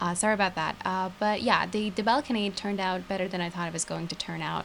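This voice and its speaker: Noticeable background noise sits under the voice. A woman speaks at a medium pitch and a fairly quick pace. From Turkey. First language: Turkish. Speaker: gaming youtuber. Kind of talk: voiceover commentary. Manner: casual, hesitant with fillers.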